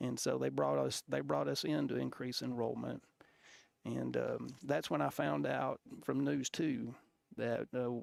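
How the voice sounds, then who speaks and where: A man with an Alabama accent, fairly slow and very even in loudness, on a very clean recording with a silent background. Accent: Southern US (Alabama). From US South, Alabama. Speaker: football coach. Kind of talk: interview storytelling. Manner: halting, many fillers and restarts.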